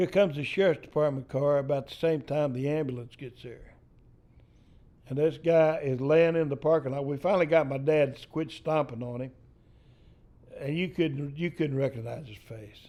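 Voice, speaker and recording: With a Texan accent, a man speaks in a dark, mellow tone, his loudness swinging widely. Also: fairly high pitch for a man, moderate pace. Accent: Texan Southern US. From East Texas. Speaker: storyteller. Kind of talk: storytelling interview. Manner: animated.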